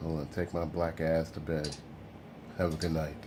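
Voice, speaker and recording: Dark and mellow in tone, a man's very deep, low voice holds a monotone, flat intonation. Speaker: model railroad hobbyist vlogger. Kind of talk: casual vlog. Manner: rambling, halting; slurring speech.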